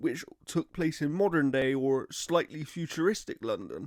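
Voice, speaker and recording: The recording is very clean with a silent background and a dry, close sound with no echo, while the speaker goes at a fairly slow pace with ordinary pitch variation. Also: man. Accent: British. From Britain. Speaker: gaming podcast co-host. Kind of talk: casual chat.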